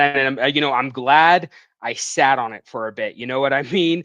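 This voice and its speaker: A man speaks with a slight Canadian accent at a fairly quick pace. His tone is bright and sharp. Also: quiet background. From Western Canada, Vancouver area. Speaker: comic book writer. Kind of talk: casual interview. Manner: hesitant, many fillers.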